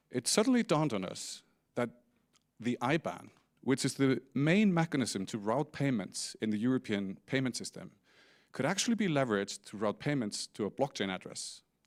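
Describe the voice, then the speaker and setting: In a very clean recording with a silent background, a man with an Icelandic accent speaks at a medium pitch and moderate pace, his pitch swinging very widely, the sound dry and close with no echo. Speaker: company CEO. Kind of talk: conference talk. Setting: stage with audience.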